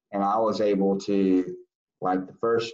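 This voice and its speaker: A man in a Southern US accent, very slow pace, ordinary pitch variation. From US South, South Carolina. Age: 40s. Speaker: lobbyist. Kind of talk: interview. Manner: halting.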